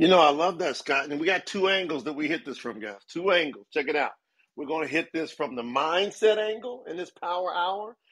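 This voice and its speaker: The tone is animated. The intonation is lively. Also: man. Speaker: podcast host. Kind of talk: casual live chat. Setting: live audio room.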